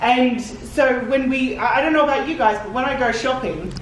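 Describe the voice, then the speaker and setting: A woman with an Australian accent speaks in an animated tone at a high pitch and moderate pace, with audible room echo and noticeable background noise. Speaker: cosplayer giving convention panel. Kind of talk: convention panel talk. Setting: convention panel room with audience. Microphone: handheld camera mic, sound issues.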